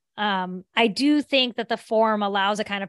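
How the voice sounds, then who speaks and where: In an unremarkable speaking voice, a woman with an American accent speaks at a moderate pace and medium pitch, with ordinary pitch variation, over a quiet background in a dry, close sound with no echo. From southern West Virginia. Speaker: author and teacher. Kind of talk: interview.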